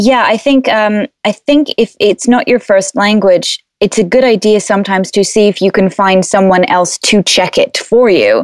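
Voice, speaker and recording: This is a woman with a plain, everyday voice at medium pitch. She talks at a fairly slow pace with ordinary pitch variation, and the sound is dry and close with no echo. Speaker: podcast host and freelance seller. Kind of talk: casual podcast chat.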